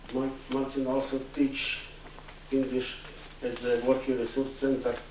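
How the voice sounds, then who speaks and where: Over noticeable background noise and audible room echo, a man of medium pitch speaks at a fairly slow pace. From Belarus. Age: 60s. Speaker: adult ESL student. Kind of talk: memorial tribute.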